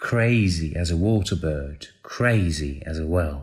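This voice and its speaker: In a very clean recording with a silent background, a man speaks at a very slow pace, somewhat breathy and with lively intonation. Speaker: voiceover artist. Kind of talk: poetry reading. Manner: exuberant, animated, joyful.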